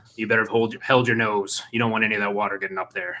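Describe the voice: A man puts on a raspy character voice at a medium pitch, talking at a very fast pace. His intonation stays monotone and flat.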